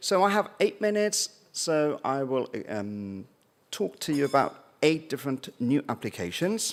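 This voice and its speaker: With a slight British accent, a man speaks at a fairly slow pace in a fairly high pitch that swings very widely. The recording is very clean against a silent background. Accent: slightly British. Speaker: dermatologist. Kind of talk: conference talk.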